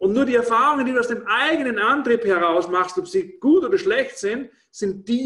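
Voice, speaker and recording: Raising and projecting his voice, a man speaks at an extremely high pitch with very wide pitch swings. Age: 50s. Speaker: former restaurateur and network marketing speaker. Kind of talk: casual interview. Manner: hesitant, with frequent fillers and repetitions.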